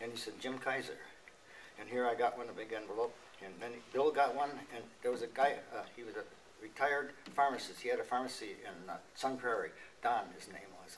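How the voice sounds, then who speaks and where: An American accent marks this man's speech. His loudness swings widely over noticeable background noise. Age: 80s+. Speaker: war veteran. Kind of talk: testimony. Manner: halting.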